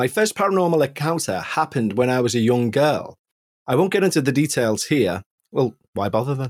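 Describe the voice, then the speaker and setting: A man with a Liverpool accent speaks at a medium pitch and fairly quick pace, his pitch swinging very widely, in a dry, close sound with no echo on a very clean recording with a silent background. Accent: Liverpool (Scouse) English. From northern England, Liverpool area. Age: 40s. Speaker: musician and ghost podcast host, guest storyteller. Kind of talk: first-person ghost story narration read aloud; casual chat. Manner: measured, atmospheric storytelling pace.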